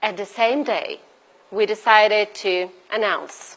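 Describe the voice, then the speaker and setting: A woman speaks with a Brazilian Portuguese accent. Her pitch is fairly high, with ordinary variation. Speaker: bioethics researcher and activist. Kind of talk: conference presentation. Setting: event audience at embassy. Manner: unscripted, halting.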